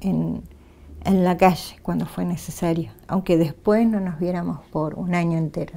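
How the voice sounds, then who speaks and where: This woman talks at a fairly slow pace in a dark, mellow tone. Her pitch varies in an ordinary way. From Argentina, Neuquén (Cutral Có). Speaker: human rights activist and union press officer. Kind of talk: interview. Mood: calm, reflective. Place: studio. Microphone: lapel.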